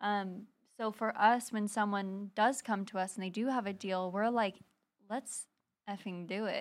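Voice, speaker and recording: Here is a plain, everyday voice from a woman at medium pitch. She speaks at a fairly slow pace with fairly even intonation. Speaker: real estate investor. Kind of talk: casual interview chat.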